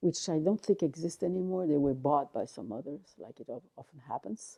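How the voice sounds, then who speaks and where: A dark, mellow tone with a French accent, lively intonation, big swings in loudness and a fairly quick pace. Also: woman, very deep, low pitch for a woman. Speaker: artist. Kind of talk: interview. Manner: halting.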